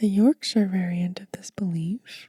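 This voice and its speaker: Soft-spoken and somewhat breathy, a woman talks at a fairly slow pace in a gentle, dark, mellow tone, with a dry, close sound with no echo. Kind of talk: ASMR book reading for sleep. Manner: soft-spoken, gentle.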